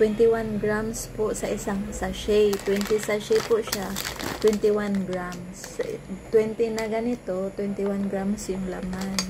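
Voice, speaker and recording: Over noticeable background noise, a woman speaks fairly slowly at medium pitch in a monotone, flat intonation. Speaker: vlogger selling coffee products. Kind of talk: product review vlog, sales pitch. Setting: bedroom at home. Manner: soft-spoken, near whisper; halting, many restarts.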